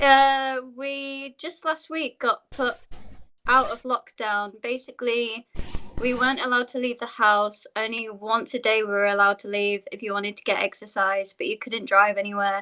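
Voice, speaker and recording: A fairly high-pitched woman with a bright, sharp tone, big swings in loudness, ordinary pitch variation and a moderate pace. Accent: British. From Yorkshire, northern England. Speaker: dancer. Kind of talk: casual chat.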